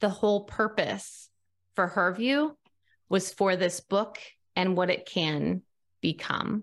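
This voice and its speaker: On a very clean recording with a silent background, a woman with a Midwestern American accent talks very slowly at a medium pitch. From US Midwest, central Nebraska. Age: 40s. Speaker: online publisher and author. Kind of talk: interview.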